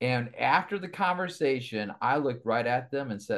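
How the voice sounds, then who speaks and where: A man speaks with an American accent, his pitch making very wide swings. The recording is very clean, with a silent background. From Michigan, Kalamazoo area. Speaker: evangelist and ministry executive. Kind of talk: interview conversation.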